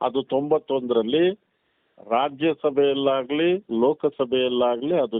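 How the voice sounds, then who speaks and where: This man has a plain, everyday voice. His pitch is medium and his intonation fairly even. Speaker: advocate and community activist. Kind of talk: interview.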